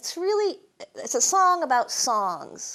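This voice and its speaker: A woman with a New England accent, fairly slow in pace, with very wide pitch swings. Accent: New England Yankee, drops R's. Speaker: storyteller and humorist. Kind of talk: storytelling performance. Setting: stage with live audience.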